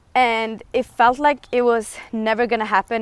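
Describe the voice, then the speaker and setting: With a non-native accent, a woman with a fairly high pitch speaks at a moderate pace using fairly even intonation, the sound dry and close with no echo. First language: not English. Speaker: lifestyle vlogger. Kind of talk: livestream monologue. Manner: halting.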